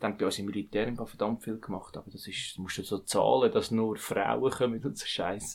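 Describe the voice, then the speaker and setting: A plain, everyday voice from a man, medium in pitch, at a moderate pace with fairly even intonation. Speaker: podcast co-host. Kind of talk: casual chat.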